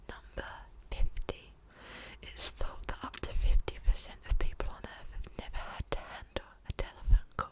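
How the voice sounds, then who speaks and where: Noticeable background noise is present. Over it, someone whispers. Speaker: ASMR creator. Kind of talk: whispered ASMR fact reading. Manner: whispered.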